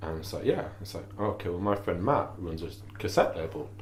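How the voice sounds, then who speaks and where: Audible room echo over noticeable background noise. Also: man. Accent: Yorkshire. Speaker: musician and cassette label co-founder. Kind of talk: casual chat.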